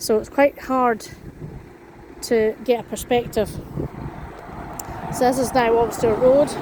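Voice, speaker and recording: A woman with a Scottish accent speaks fairly slowly at a high pitch in a monotone, flat intonation, with long, frequent pauses and noticeable background noise. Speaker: vlogger. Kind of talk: walking vlog.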